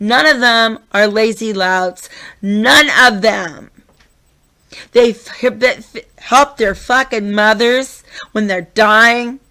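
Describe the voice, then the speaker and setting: Loud, shouted speech with a bright, sharp tone and ordinary pitch variation comes at a very slow pace with long, frequent pauses. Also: woman, fairly high pitch for a woman. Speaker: vlogger. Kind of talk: rant. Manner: loud, yelling.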